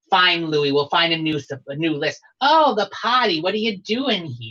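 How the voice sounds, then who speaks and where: A man performs a put-on character voice. He pitches it high and keeps a moderate pace. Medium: actual play. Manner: brassy, warm and showy.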